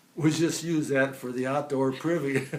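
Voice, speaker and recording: A man's fairly high voice carries fairly even intonation through noticeable background noise. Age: 80s+. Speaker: centenarian storyteller. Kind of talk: life story interview.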